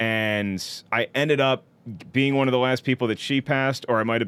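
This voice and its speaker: At a fairly quick pace, a man talks in an ordinary speaking voice with a medium pitch and fairly even intonation. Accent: American. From US South, North Carolina and Virginia. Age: 40s. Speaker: comedian. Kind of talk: casual chat.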